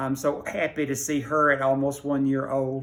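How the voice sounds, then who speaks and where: A man speaks with a Middle Tennessee accent. His pace is moderate. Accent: Southern US (Middle Tennessee). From Tennessee, Rutherford County. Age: 80s+. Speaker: library patron. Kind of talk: personal reminiscence. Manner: hesitant with fillers.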